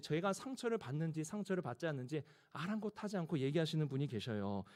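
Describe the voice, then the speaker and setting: In a very clean recording with a silent background, a man is heard. His fairly quick speech swings very widely in pitch. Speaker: pastor. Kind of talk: sermon. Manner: speeds up when excited.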